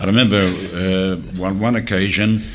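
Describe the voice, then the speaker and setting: Noticeable background noise and audible room echo fill the recording. A man with a very deep, low voice talks at a moderate pace with fairly even intonation. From Australia. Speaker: former offshore radio DJ. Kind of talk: reunion panel reminiscing. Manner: halting, many fillers.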